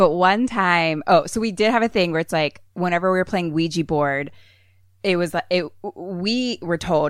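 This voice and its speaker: A woman with an American accent talks at a moderate pace in an ordinary speaking voice, her pitch fairly low with ordinary variation, on a very clean recording with a silent background. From Philadelphia, US. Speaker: horror comedy podcaster with theater training. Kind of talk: casual chat.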